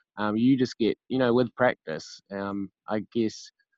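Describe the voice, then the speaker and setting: The speaker has a New Zealand accent and ordinary pitch variation. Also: man. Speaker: singer-songwriter in recovery. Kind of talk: casual interview. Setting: remote call.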